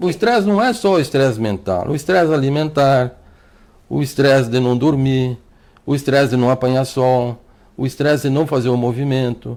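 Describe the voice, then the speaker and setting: A man speaks at a moderate pace with very even loudness and ordinary pitch variation. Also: medium pitch for a man. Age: 60s. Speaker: doctor. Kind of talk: TV interview. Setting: TV studio. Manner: halting, repeats words.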